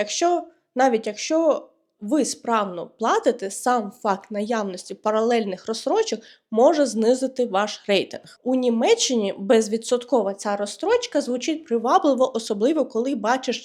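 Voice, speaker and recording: Ordinary pitch variation marks this speech, delivered at a fairly slow pace. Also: woman, high pitch for a woman. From Ukraine. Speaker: vlogger and freelance web developer. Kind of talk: explainer vlog.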